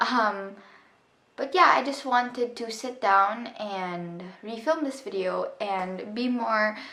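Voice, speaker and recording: A woman with a fairly high pitch and a bright, sharp tone talks at a very slow pace with ordinary pitch variation, and audible room echo surrounds her voice. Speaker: vlogger. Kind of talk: personal storytime monologue. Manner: halting; many filler ums.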